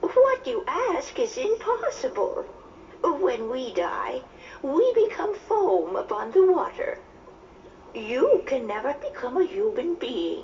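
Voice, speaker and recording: A put-on character voice at an extremely high pitch, fairly slow, over clear background noise. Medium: read story. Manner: gentle, measured.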